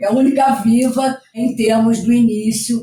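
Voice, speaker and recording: A woman's ordinary speaking voice, fairly high in pitch, with ordinary pitch variation. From Rio de Janeiro, Brazil (Rocinha favela). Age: 60s. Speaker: community activist and educator. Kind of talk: podcast interview.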